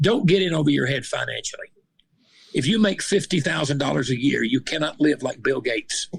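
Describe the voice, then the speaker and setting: A man in a Southern US accent, fairly high in pitch, with lively intonation. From Arkansas. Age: 60s. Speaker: retired police officer and minister. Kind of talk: interview. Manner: animated.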